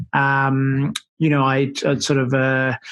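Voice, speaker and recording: In an Australian accent, a man speaks at a fairly high pitch. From Australia, Melbourne. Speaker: sports medicine doctor. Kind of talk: interview. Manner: hesitant, many fillers.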